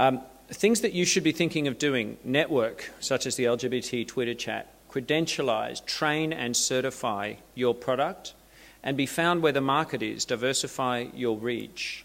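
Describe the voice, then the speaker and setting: A man speaks with an Australian accent. His pitch is medium. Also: ordinary pitch variation, moderate pace. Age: middle-aged. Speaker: LGBT marketing consultant. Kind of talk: conference presentation. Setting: seminar stage with audience.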